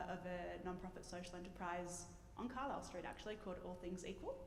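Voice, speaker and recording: Through noticeable background noise and audible room echo, a woman with an Australian accent speaks at a medium pitch. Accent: Australian, remarked on by audience. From Sydney, Australia. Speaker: non-profit general manager. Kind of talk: panel discussion.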